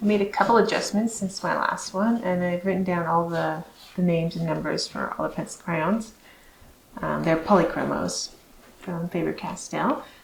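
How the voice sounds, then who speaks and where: Against noticeable background noise, a woman speaks at a moderate pace and medium pitch with ordinary pitch variation. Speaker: abstract artist. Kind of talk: casual vlog narration. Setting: home studio. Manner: hesitant, many fillers.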